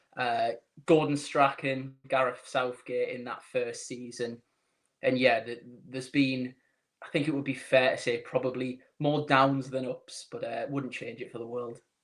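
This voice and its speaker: A man speaks at a fairly slow pace in a monotone, flat intonation, his loudness swinging widely. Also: medium pitch for a man. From northern England, Newcastle. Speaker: football social media account owner, sports journalist. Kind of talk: podcast interview.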